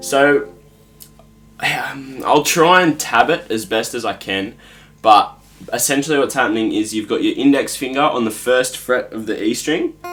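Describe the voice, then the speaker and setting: In an Australian accent, a man speaks at a moderate pace with medium pitch and ordinary pitch variation. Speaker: guitar teacher. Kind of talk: tutorial. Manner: casual.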